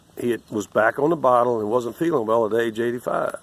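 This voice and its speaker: A man with an American accent talks in an ordinary speaking voice at medium pitch, his intonation fairly even and the sound dry and close with no echo. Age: 60s. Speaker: political commentator. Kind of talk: angry commentary rant.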